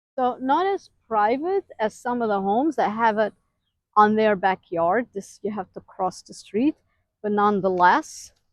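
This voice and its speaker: Speaking at a fairly slow pace, a woman uses lively intonation and a fairly high pitch. The sound is dry and close, with no echo. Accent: Western European. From Western Europe. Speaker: homeowner vlogger giving neighborhood tour. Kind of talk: casual walking tour vlog.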